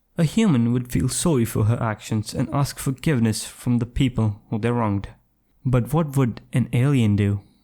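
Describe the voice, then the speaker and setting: A man's dark, mellow tone at very even loudness. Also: medium pitch for a man, ordinary pitch variation, moderate pace. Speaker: YouTube commentator. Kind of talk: commentary voice-over.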